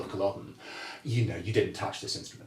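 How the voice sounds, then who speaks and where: A somewhat breathy, medium-pitched male voice with audible room echo. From Scotland, Glasgow. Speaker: bagpiper and music historian. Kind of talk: casual interview chat. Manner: halting, many repeated words.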